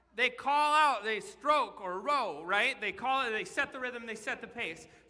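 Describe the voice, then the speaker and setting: In a raised, projected voice of extremely high pitch, a man speaks at a fairly slow pace, his tone bright, sharp and animated, his intonation lively. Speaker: children's pastor. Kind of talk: sermon. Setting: church stage in the round with audience. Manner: loud.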